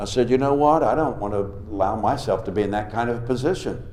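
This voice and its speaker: A man with lively intonation at a moderate pace, with audible room echo. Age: 60s. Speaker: revival preacher. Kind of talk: sermon. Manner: animated.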